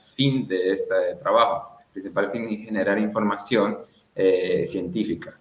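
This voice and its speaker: A man's a normal speaking voice at medium pitch, fairly slow pace, ordinary pitch variation. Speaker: conservation foundation president, fieldwork researcher. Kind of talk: radio interview answer.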